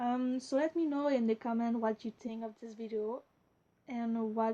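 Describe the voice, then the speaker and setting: The speaker has a French Canadian accent and a dark, mellow tone. The pace is moderate. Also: woman. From Quebec. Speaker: mental health vlogger. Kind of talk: personal video blog. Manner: halting, many fillers and stuttering.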